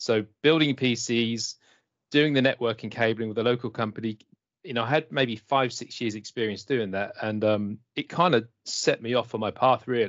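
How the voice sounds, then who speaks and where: With an English accent, a man speaks at a moderate pace and medium pitch, using ordinary pitch variation. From England. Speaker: IT consultant. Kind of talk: casual interview chat. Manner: friendly, upbeat.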